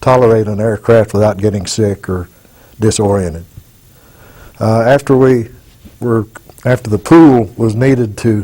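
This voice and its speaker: In an Arkansas accent, a man talks at a moderate pace with a dark, mellow tone and a medium pitch. His pitch varies in an ordinary way, and he pauses long and often. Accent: Southern US (Arkansas). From Arkansas, US South. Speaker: war veteran. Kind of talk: oral history testimony. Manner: halting with fillers.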